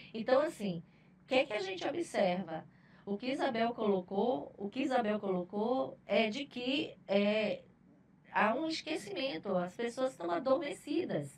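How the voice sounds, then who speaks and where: With very wide pitch swings, a woman speaks at a fairly slow pace and a fairly high pitch. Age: 60s. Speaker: HR manager. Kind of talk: podcast panel discussion.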